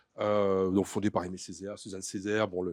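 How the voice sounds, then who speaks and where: A fairly quick pace in a dry, close sound with no echo. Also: man, quiet background. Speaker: writer and doctoral researcher. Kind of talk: conference talk. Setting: conference with audience. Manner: fast; hesitant, many fillers.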